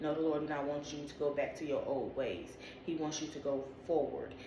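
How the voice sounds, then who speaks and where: A woman is speaking amid noticeable background noise, with audible room echo in the space. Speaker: video creator interpreting dreams. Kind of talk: casual spiritual monologue to camera. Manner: fast.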